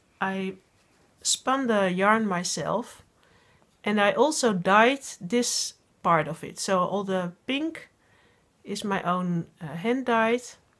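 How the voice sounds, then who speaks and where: Speaking very slowly with long, frequent pauses, a woman with a Dutch accent uses lively intonation at a medium pitch on a very clean recording with a silent background. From Netherlands. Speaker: podcast host, knitting designer and teacher. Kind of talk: casual video podcast monologue. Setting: home working space. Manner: halting, many fillers.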